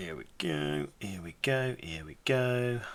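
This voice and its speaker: A man adopts a put-on character voice, very deep and low in pitch, and talks at a fairly slow pace. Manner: playful.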